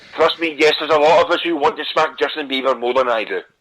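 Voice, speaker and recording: In a Scottish accent, a man of medium pitch talks at a very fast pace with a bright, sharp tone and lively intonation. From Scotland. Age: young. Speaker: internet radio host. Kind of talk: casual talk show monologue. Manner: animated.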